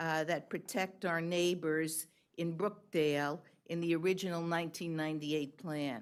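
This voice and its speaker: With a New York accent, a woman talks at a moderate pace in a fairly low pitch while music plays in the background. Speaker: public commenter. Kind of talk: public testimony.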